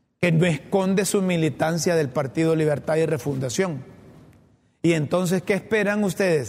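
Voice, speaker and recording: A plain, everyday voice from a man, fairly high-pitched, at a moderate pace, with very even loudness and ordinary pitch variation. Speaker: political commentary show host. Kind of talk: opinion commentary monologue.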